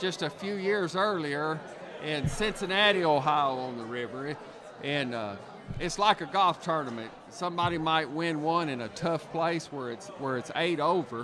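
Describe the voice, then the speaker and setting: At a moderate pace, a man talks with lively intonation amid audible room echo and noticeable background noise. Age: 60s. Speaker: professional bass angler. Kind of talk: casual chat. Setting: live event broadcast.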